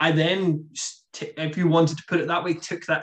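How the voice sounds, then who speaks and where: Monotone, flat intonation runs through this man's fairly high-pitched speech. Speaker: startup founder, guest. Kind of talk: casual interview chat. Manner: hesitant, repeats words.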